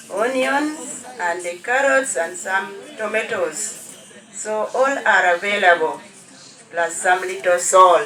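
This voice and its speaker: With very wide pitch swings, a woman talks at a very slow pace amid audible room echo and noticeable background noise. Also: medium pitch for a woman. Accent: Ugandan. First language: Lango. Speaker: cooking demonstrator. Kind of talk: cooking demonstration.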